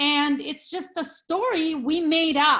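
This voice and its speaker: In a Brazilian Portuguese accent, a woman talks with a bright, sharp, confident and passionate tone and ordinary pitch variation. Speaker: real estate agent. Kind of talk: video call interview.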